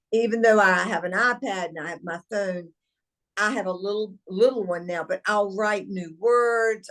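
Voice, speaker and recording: Speaking in a Southern US accent, a woman uses a medium pitch. Her intonation is fairly even and her pace moderate. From US South, eastern North Carolina. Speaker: company founder and CEO. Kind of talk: interview.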